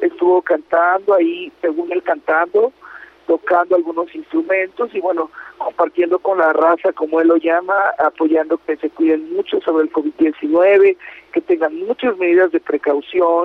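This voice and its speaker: A man with a high pitch, a fairly slow pace and ordinary pitch variation, over noticeable background noise. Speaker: entertainment radio host. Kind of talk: casual chat.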